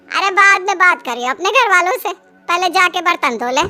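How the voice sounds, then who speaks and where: Putting on a character voice, a woman talks at a fairly quick pace with an extremely high pitch and lively intonation. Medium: read story.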